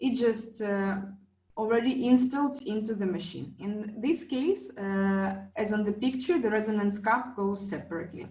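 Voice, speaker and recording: A woman speaks at a moderate pace in a fairly high pitch, with lively intonation. Her voice is somewhat breathy, and audible room echo surrounds it. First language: not English. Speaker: wellness device trainer. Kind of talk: online class presentation. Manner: halting, many fillers.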